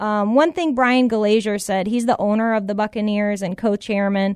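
Here is a woman with an American accent and an unremarkable speaking voice. Her pitch is fairly high, with ordinary variation and hardly any pauses. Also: quiet background. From Tampa, Florida. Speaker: sports radio co-host. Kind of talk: casual chat. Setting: studio.

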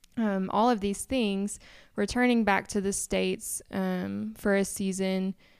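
On a very clean recording with a silent background, a woman with an ordinary speaking voice speaks at a fairly slow pace, her medium pitch held in fairly even intonation. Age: 20s. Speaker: missionary. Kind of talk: casual chat.

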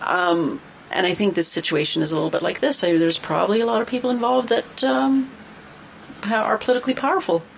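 A woman with a Canadian accent talks very fast at a fairly high pitch, with very wide pitch swings and very even loudness over noticeable background noise. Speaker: political panelist. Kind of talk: casual panel discussion. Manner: animated, exclamatory.

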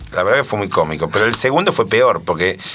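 A man speaks very fast at a medium pitch while noticeable background noise runs underneath. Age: 60s. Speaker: former tennis pro and coach. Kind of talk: casual interview.

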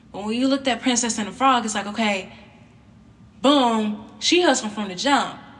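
Over noticeable background noise, a woman with a fairly high pitch speaks at a moderate pace, her loudness swinging widely. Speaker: podcast host. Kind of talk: solo monologue podcast. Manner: monotone.

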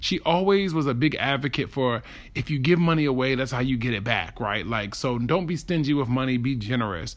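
A man talks at a fairly quick pace with an American accent and a medium pitch, in a plain, everyday voice. His intonation is lively. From Baltimore, US. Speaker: podcast host. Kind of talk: personal monologue.

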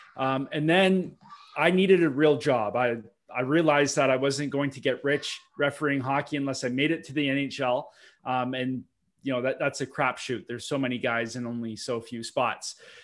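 Speaking with an Ontario accent, a man has a fairly high pitch and fairly even intonation on a very clean recording with a silent background. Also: moderate pace. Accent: Canadian (Ontario). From Ontario, Canada (Milton, near Toronto). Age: 30s. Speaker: real estate investor and broker. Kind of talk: podcast interview.

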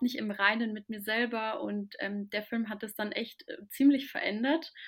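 Here a woman talks at a moderate pace with a fairly high pitch. She has an ordinary speaking voice and fairly even intonation. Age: 20s. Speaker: spiritual content creator. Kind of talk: casual chat.

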